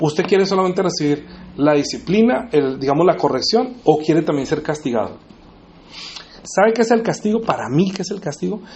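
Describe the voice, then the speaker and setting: With lively intonation and a high pitch, a man talks in a space with audible room echo. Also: fairly quick pace. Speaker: preacher. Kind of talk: sermon. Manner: fast.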